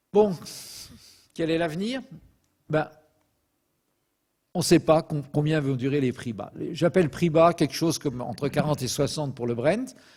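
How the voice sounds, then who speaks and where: Speaking at a fairly slow pace with long, frequent pauses, a man with a fairly high pitch sounds somewhat breathy and uses lively intonation, captured in a very clean recording with a silent background. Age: 70s. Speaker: petroleum expert lecturer. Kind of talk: lecture. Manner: hesitant fillers (euh).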